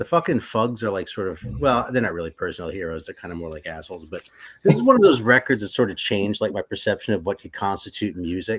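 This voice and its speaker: A man speaks at a very fast pace with a fairly low pitch, lively intonation and big swings in loudness, on a very clean recording with a silent background. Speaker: metal music enthusiast. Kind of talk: casual chat on a livestream.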